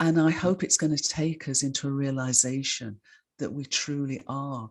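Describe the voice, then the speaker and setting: On a very clean recording with a silent background, a woman speaks at a moderate pace with a very deep, low pitch. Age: 70s. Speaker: scientist and author. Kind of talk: interview.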